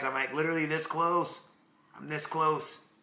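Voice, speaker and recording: A man at a moderate pace, with audible room echo. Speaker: crypto trading streamer. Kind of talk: live stream market analysis chat. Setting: live stream. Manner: casual, conversational.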